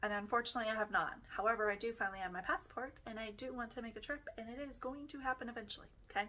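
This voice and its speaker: The tone is bright and sharp. The pitch varies in an ordinary way. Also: woman. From Texas. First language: German (lost). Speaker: podcast host. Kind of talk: personal storytelling podcast monologue. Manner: casual, chatty.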